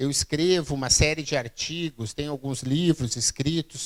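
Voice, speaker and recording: With a Rio Grande do Sul accent, a man talks at a fairly slow pace in a fairly high pitch, the sound dry and close with no echo. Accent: Rio Grande do Sul (gaúcho). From southern Brazil, Rio Grande do Sul (Santa Maria). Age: 40s. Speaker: keynote speaker on innovation. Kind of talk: public lecture. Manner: halting, frequent fillers and repeats.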